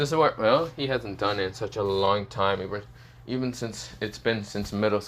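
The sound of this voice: The pitch varies in an ordinary way throughout an unforced reading voice.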